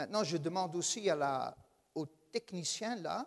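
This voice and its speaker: This man speaks with a Dutch accent and a high pitch. The sound is dry and close, with no echo. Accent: Dutch-speaking accent in French. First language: Dutch (speaking French). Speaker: guest preacher. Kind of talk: sermon. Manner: hesitant, many filler sounds.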